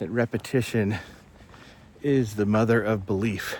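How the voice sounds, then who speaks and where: A man speaks in a plain, everyday voice, his pitch fairly low and his intonation fairly even. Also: moderate pace. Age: 50s. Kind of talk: casual talk to camera.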